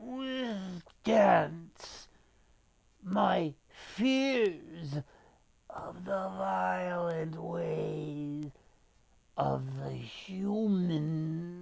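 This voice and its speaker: A man puts on a character voice at a fairly high pitch. He talks at a very slow pace. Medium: read story. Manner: solemn, tender.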